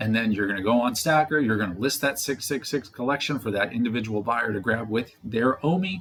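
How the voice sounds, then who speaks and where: A somewhat breathy man at a medium pitch, fairly quick pace and ordinary pitch variation. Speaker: crypto and NFT commentator. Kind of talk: casual speculative commentary video. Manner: fast.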